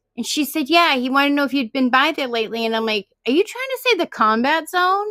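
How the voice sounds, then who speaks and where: A woman with a high pitch speaks very fast in a raised, projected voice, her tone bright and sharp, her intonation lively, and the sound dry and close with no echo. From Massachusetts, Boston area. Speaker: paranormal live stream participant. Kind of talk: casual chat. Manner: animated.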